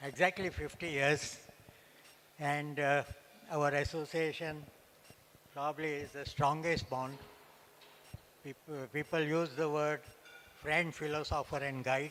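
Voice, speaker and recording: A man talks at a fairly high pitch and a fairly slow pace, with a bright, sharp tone. His intonation is monotone and flat, broken by long, frequent pauses. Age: 80s+. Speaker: award recipient. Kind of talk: acceptance speech. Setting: stage with audience. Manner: halting.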